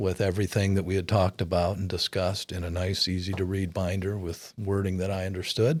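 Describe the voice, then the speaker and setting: An unremarkable speaking voice from a man, fairly low in pitch, at a moderate pace, on a very clean recording with a silent background. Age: 60s. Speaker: client of a retirement planner. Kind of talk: testimonial interview.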